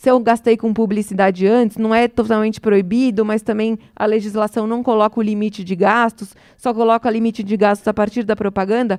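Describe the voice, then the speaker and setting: A woman with a fairly high pitch speaks at a fairly quick pace in a monotone, flat delivery, the sound dry and close with no echo. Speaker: electoral law speaker. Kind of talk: lecture. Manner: fast.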